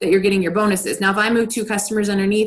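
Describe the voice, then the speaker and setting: The voice is a woman's, somewhat breathy. Her pitch is medium. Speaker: network marketing team leader. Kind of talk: training webinar. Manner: fast.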